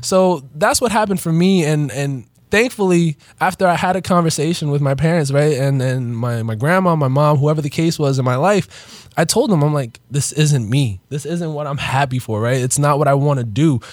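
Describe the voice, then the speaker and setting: Talking at a moderate pace with hardly any pauses, a man uses a normal speaking voice at a fairly high pitch with ordinary pitch variation. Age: 20s. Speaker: podcast co-host, entrepreneur. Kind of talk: casual chat. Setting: studio.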